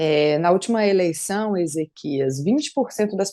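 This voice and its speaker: On a very clean recording with a silent background, a woman talks at a fairly slow pace in a fairly low, dark, mellow voice with ordinary pitch variation. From Brasília, Brazil. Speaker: politician, police officer and former dancer. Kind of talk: podcast interview.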